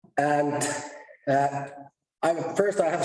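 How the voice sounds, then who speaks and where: A man speaks at a very slow pace in a fairly high pitch, with audible room echo around him. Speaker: conference presenter, research task leader. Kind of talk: conference presentation. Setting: stage at a conference.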